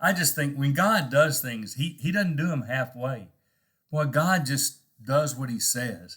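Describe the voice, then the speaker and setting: A man's fairly high, bright and sharp voice in a Texan accent, with lively intonation at a moderate pace, on a very clean recording with a silent background. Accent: Texan American English. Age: old. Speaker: preacher. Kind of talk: devotional talk. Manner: conversational, halting.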